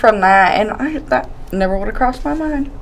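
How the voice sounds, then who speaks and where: With a Southern US accent, a woman talks loudly at a moderate pace in an animated tone, her pitch swinging very widely over noticeable background noise. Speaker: podcast host. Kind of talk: casual chat.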